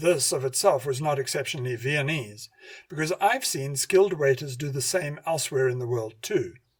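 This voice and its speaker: A man's somewhat breathy, fairly high voice at a moderate pace, with ordinary pitch variation. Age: 60s. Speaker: radio host and hypnotherapy lecturer. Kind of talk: scripted narration.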